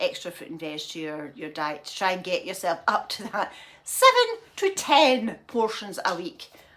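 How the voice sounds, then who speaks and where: A woman with a Scottish accent. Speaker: lifestyle vlogger. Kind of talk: casual vlog chat. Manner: rambling, repetitive.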